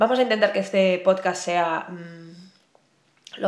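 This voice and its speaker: Here a woman talks at a medium pitch. Her pace is moderate and her intonation fairly even. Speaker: podcast host and writer. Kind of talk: casual solo podcast monologue. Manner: hesitant, many filler sounds and pauses.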